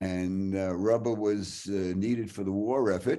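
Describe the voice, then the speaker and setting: A man with a New York accent and a dark, mellow tone speaks at a fairly slow pace with ordinary pitch variation. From Brooklyn, New York. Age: 90s. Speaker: hockey writer and storyteller. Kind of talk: storytelling talk. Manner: animated.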